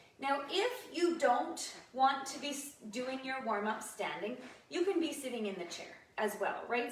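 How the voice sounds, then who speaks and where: A woman's high-pitched voice at a moderate pace, lively in intonation, with audible room echo. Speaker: fitness instructor. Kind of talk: live online exercise class instruction. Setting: livestream video.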